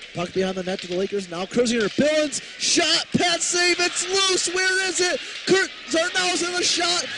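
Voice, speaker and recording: A man's extremely high, raised and projected voice with lively intonation and hardly any pauses, dry with no echo, over noticeable background noise. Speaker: hockey play-by-play announcer. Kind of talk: live commentary. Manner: fast, rapid-fire, excitable; clipped play-by-play delivery with rising energy at goals.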